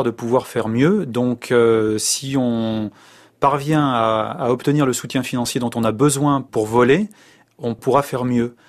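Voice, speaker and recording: A man's medium-pitched voice moves at a very slow pace, its intonation fairly even. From France, of Spanish descent. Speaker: humanitarian worker and volunteer pilot. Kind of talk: interview. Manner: hesitant, many fillers.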